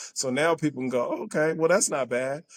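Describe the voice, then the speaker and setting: Against a very clean, silent background, a man speaks in a fairly high pitch with an animated tone and lively intonation. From Southern California (Altadena). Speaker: community advocate and coach. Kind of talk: podcast interview.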